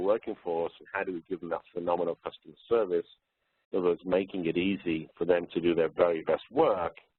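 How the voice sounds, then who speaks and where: This man speaks with a British accent. His pitch is very deep and low. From UK. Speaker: workforce consultant. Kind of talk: webinar presentation. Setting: webinar. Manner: hesitant, with fillers.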